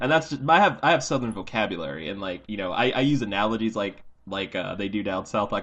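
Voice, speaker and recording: At a very fast pace, a man with an American accent speaks in a fairly low pitch with lively intonation. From Iowa, American Midwest. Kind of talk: casual, folksy.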